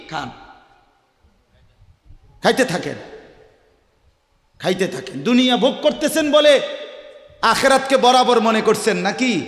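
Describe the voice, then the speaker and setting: A man's passionate tone with lively intonation. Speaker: Islamic preacher giving a waz. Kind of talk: Islamic sermon (waz) delivered to an audience. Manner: passionate, rhetorical, questioning the audience.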